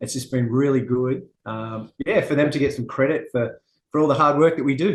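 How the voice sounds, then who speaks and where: Speaking with a strong Australian accent, a man uses a fairly high pitch, ordinary pitch variation and a moderate pace. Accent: Australian, very noticeable. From Australia, Western Sydney. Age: 40s. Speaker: martial arts instructor. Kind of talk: interview. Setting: at a gym, remote interview.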